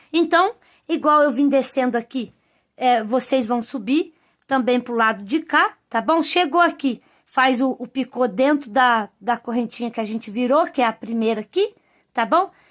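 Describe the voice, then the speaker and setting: In a very clean recording with a silent background, a woman speaks fairly slowly at a high pitch with ordinary pitch variation. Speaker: crochet teacher. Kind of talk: tutorial.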